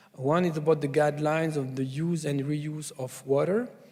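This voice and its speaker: Speaking with a French accent, the man has a dark, mellow tone at a fairly high pitch, ordinary pitch variation and a moderate pace. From France. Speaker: food safety scientist, conference speaker. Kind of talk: conference presentation. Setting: conference stage with audience. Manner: hesitant, many fillers.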